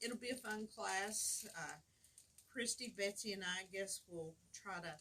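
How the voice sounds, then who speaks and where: A woman's medium-pitched voice, bright and sharp in tone, at a fairly slow pace with ordinary pitch variation. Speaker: fabric store owner hosting weekly live show. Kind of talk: casual chat. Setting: livestream video. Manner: loud.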